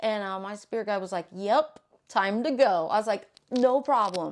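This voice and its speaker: In a very clean recording with a silent background, a woman speaks fairly slowly at a medium pitch with lively intonation. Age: 40s. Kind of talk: casual storytelling to camera. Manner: rambling, conversational.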